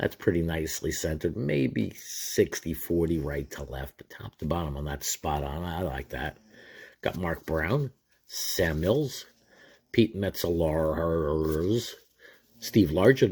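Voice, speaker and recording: A man with an American accent talks at a very slow pace in a very deep, low voice with vocal fry and a relaxed tone. His pitch varies in an ordinary way while his loudness swings widely, on a very clean recording with a silent background. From New York area. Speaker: sports card collector YouTuber. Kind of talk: casual pack-opening commentary. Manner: casual, relaxed.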